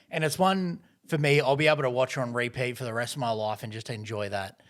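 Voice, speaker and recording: On a very clean recording with a silent background, a man speaks at a fairly quick pace with lively intonation. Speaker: movie review podcast host. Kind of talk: casual chat.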